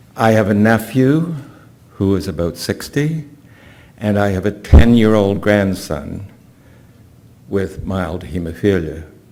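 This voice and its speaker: With a Canadian accent, a man speaks fairly slowly in a fairly low voice with lively intonation and long, frequent pauses, over noticeable background noise and audible room echo. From Canada. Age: 80s+. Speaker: patient speaker. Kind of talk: conference talk.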